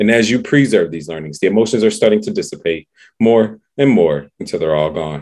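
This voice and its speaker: This man has a normal speaking voice, pitched fairly low. He talks at a fairly quick pace with lively intonation. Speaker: podcast host and self-talk practitioner. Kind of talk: guided hypnosis, neurolinguistic programming session with a client. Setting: podcast recording.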